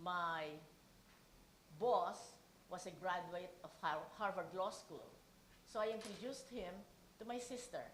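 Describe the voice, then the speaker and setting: A woman's medium-pitched voice at a fairly slow pace, with long, frequent pauses and audible room echo. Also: ordinary pitch variation. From Philippines. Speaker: keynote speaker. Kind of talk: speech.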